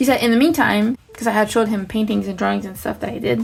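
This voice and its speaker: A woman's fairly high pitch rises above noticeable background noise. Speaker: tattoo artist. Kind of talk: casual chat. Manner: rambling, chatty.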